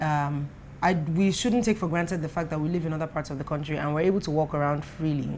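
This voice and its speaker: Someone speaks at a very fast pace with a Nigerian accent. Light background noise can be heard. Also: woman, very deep, low pitch for a woman, ordinary pitch variation. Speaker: web show host. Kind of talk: casual chat. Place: home room.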